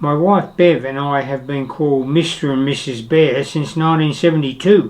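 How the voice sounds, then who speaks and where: Intonation stays fairly even as a man speaks with an Australian accent. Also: fairly high pitch for a man, moderate pace. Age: 80s+. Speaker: retired traveller and vlogger. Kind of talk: scripted narration.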